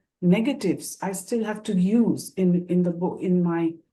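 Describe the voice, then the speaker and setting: A woman speaks with a Bengali accent at a medium pitch, with ordinary pitch variation. Her voice is somewhat breathy, with a dark, mellow tone. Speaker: moderator and professor. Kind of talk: panel moderation introduction. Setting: online discussion. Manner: hesitant, many fillers.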